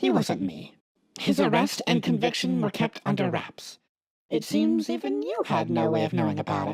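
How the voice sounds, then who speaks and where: A man uses a put-on character voice at a fairly low pitch. His pace is moderate. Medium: audio drama. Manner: measured, analytical.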